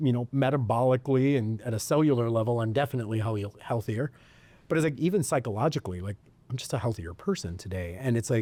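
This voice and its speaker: Very fast and in an American accent, a man speaks with a dark, mellow tone at medium pitch and ordinary pitch variation. The recording is very clean, with a silent background. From US Midwest, suburb of Detroit. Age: 40s. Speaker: podcast host. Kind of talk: casual chat.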